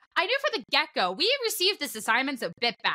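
A woman uses a raised, projected voice with a bright, sharp tone, and the sound is dry and close with no echo. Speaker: podcast host and esports commentator. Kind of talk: casual chat.

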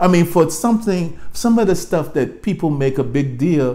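A man speaks with a fairly high pitch and lively intonation. His tone is dark and mellow. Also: moderate pace.

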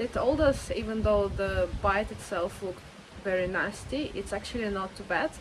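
A woman talks at a moderate pace, her pitch varying in an ordinary way, while noticeable background noise is present. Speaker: travel vlogger. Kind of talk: casual vlog chat. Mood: relaxed, chatty. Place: beach. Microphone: phone near.

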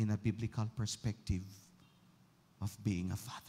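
Somewhat breathy and medium in pitch, a man speaks in a dark, mellow tone. His intonation stays fairly even. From Philippines. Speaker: pastor. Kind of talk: sermon. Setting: church. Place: church. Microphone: handheld.

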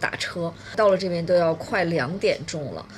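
A woman talks over light background noise. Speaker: family travel vlogger. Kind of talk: casual vlog chat. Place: home room. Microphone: phone near.

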